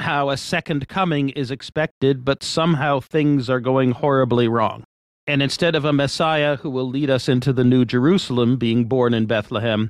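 Against a quiet background, a man with a plain, everyday voice and an American accent talks at a medium pitch with fairly even intonation. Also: dry, close sound with no echo. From Washington, D.C. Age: 60s. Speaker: economics professor. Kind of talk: interview conversation.

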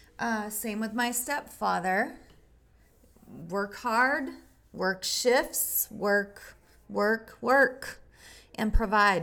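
A woman speaks at a very slow pace with vocal fry and a fairly high pitch. Her tone is bright and sharp, with ordinary pitch variation and long, frequent pauses. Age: 50s. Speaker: podcast host. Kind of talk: personal testimony monologue. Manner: halting.

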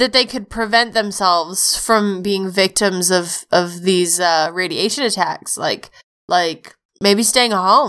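A woman speaks at a very slow pace in a bright, sharp tone. Her pitch varies in an ordinary way. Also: medium pitch for a woman. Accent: American. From United States. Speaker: podcast co-host. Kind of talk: casual chat. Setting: voice call over Discord.

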